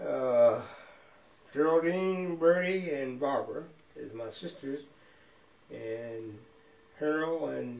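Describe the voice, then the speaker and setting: In an American accent, a man speaks at fairly high pitch with ordinary pitch variation. Noticeable background noise and audible room echo surround him. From US Midwest, Champaign, Illinois. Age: 80s+. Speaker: retired factory worker. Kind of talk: oral history interview. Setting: at home.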